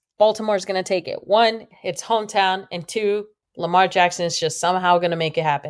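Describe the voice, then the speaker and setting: In a very clean recording with a silent background, a woman talks at a fairly quick pace and medium pitch with ordinary pitch variation. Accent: Spanish. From Los Angeles, US West Coast. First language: Spanish. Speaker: sports podcast co-host. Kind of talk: casual chat.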